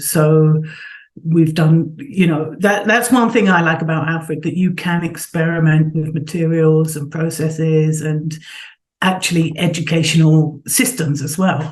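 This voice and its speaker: Speaking slowly with a London accent, a woman's very deep, low voice comes through with audible room echo. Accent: southern English, London. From England, Southeast London. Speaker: sculptor and art professor. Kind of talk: interview.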